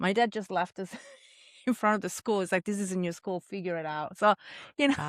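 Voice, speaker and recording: Speaking fairly quickly in an Italian accent, a woman holds a medium pitch with ordinary pitch variation. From Italy. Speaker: chef. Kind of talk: casual chat.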